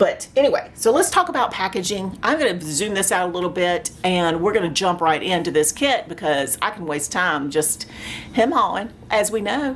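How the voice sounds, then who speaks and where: A woman with an American accent talks at a moderate pace with lively intonation. There is noticeable background noise. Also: medium pitch for a woman. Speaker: craft YouTuber. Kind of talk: unboxing review. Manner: animated.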